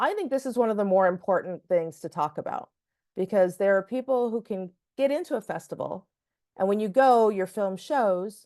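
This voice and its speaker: A woman speaks at a medium pitch in a dark, mellow tone. Her intonation is lively, and the background is quiet. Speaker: film festival strategist. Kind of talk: webinar presentation. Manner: fast.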